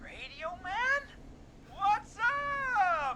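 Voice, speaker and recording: This put-on character voice sits at an extremely high pitch and swings very widely up and down. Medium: video game. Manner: drawling, laid-back.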